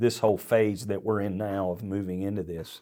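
A plain, everyday voice from a man, fairly low in pitch, at a moderate pace, with fairly even intonation, in a very clean recording with a silent background. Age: 50s. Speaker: senior pastor. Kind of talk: casual chat.

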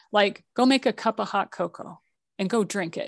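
Recorded with a dry, close sound with no echo and a quiet background, a woman speaks at a moderate pace in a fairly high voice with ordinary pitch variation. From US military family, partly raised abroad. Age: 50s. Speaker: financial literacy coach and podcaster. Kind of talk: interview testimony. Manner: animated, frequent laughter.

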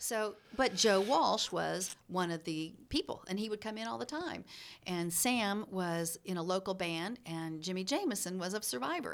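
A woman with an American accent speaks at a moderate pace and medium pitch, her intonation lively, on a very clean recording with a silent background. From US Midwest (born Chicago, raised Hannibal, Missouri). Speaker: former radio announcer, audiobook narrator. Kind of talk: casual chat. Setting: studio. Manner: animated.

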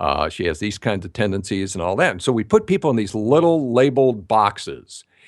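Against a quiet background, a man with a normal speaking voice and a fairly low pitch talks at a fairly quick pace with lively intonation and hardly any pauses. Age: 60s. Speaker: speaker and intimacy expert. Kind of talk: interview.

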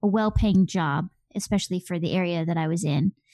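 In a Midwestern accent, a woman speaks with a dark, mellow tone and fairly even intonation, the sound dry and close with no echo over a quiet background. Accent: general American, Midwestern. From US Midwest. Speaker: blogger and founder of a personal finance website. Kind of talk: casual interview over video call. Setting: video call.

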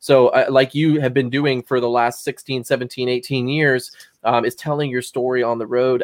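This is an unremarkable speaking voice. The intonation stays fairly even. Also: man. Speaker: podcast co-host. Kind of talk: casual interview.

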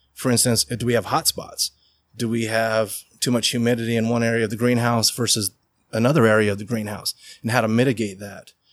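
Speaking at a fairly quick pace with an American accent, a man has a normal speaking voice at medium pitch, on a very clean recording with a silent background. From Utah (Riverton). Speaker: hemp farmer. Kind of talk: interview. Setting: indoor grow facility.

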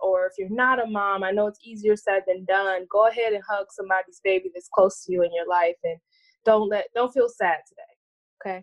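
In a normal speaking voice, a woman talks at a moderate pace with ordinary pitch variation. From Cleveland, Ohio. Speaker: podcast co-host. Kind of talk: casual chat.

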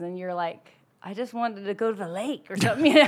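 Here is a woman with a medium pitch. She has a plain, everyday voice. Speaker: podcast co-host. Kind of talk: casual chat.

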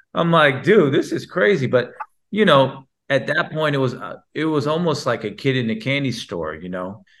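A man talks at a moderate pace with vocal fry and very wide pitch swings, recorded very cleanly against a silent background. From Texas, Houston. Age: 40s. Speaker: sports league founder and CEO. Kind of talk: podcast interview. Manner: animated.

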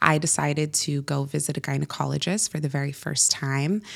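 A woman talks with a Californian accent at a very deep, low pitch. Her pace is fairly quick and her intonation fairly even. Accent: Californian American. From Northern California, US. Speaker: entrepreneur, former founder of a feminine wellness brand. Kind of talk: casual interview.

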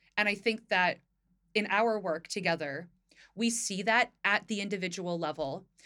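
With an American accent, the voice has a bright, sharp tone. Pitch varies in an ordinary way at a moderate pace. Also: woman, medium pitch for a woman. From US Northeast, northern New Jersey. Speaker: podcast co-host, equity consultant. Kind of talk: casual chat.

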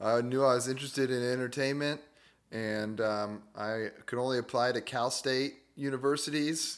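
At a moderate pace, a man with an American accent uses a normal speaking voice at medium pitch with fairly even intonation. The recording is very clean, with a silent background. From Humboldt County, Northern California. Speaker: comedian. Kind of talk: casual chat.

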